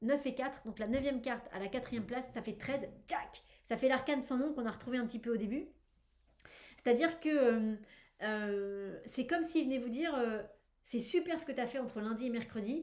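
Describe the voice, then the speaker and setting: A woman's high-pitched, animated voice at a moderate pace, with ordinary pitch variation and big swings in loudness. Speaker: tarot reader. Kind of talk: weekly tarot reading video. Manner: hesitant with fillers.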